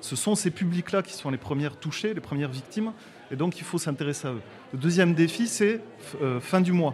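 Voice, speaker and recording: A man's high-pitched voice in a Toulouse accent, fairly quick and with lively intonation, broken by long, frequent pauses. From near Toulouse, southwest France. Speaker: social entrepreneur. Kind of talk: interview. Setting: studio.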